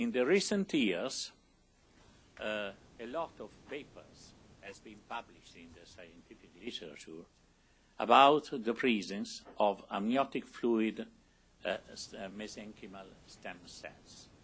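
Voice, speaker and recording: A man with an Italian accent, medium in pitch and lively in intonation, at a fairly slow pace with long, frequent pauses and big swings in loudness. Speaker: scientist. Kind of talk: lecture. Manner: halting.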